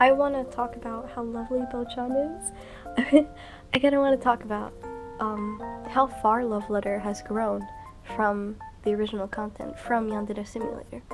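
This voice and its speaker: With music in the background, a woman speaks at a moderate pace and fairly high pitch, her intonation fairly even and broken by long, frequent pauses. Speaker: digital artist. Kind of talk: casual commentary over a speedpaint. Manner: rambling, conversational.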